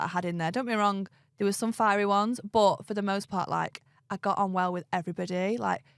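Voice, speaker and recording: A woman with an English accent talks at a very fast pace with fairly even intonation. The sound is dry and close with no echo, on a very clean recording with a silent background. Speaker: reality TV contestant. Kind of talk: casual interview. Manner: loud.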